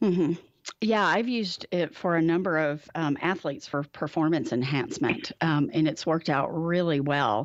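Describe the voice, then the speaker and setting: A woman's fairly low voice, a normal speaking voice, at a moderate pace with ordinary pitch variation, very even loudness and a quiet background. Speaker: therapist and radio show host. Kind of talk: radio talk show interview. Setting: studio.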